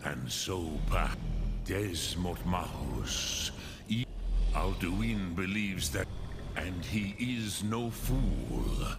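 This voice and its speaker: Over loud background noise, a man uses a put-on character voice. He speaks at a very slow pace with a very deep, low pitch. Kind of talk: dragon tongue mixed in. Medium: video game. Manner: slow, solemn, archaic.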